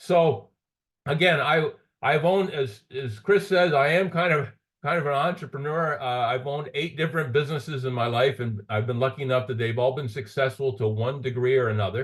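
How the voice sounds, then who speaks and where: Fairly quick, somewhat breathy delivery with ordinary pitch variation. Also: man, fairly high pitch for a man. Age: 60s. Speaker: entrepreneur, business opportunity presenter. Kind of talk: sales pitch. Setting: online call. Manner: halting, repeats words.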